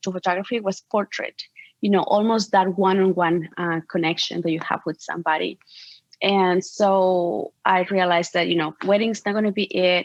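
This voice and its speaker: In a Spanish accent, a woman speaks at a moderate pace with medium pitch and ordinary pitch variation. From Mexico. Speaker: portrait photographer. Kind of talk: interview.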